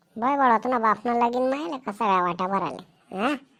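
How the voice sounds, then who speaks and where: A woman performs a cartoonish character voice, fairly high in pitch, at a moderate pace. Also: ordinary pitch variation, very clean recording, silent background. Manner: scolding, sarcastic.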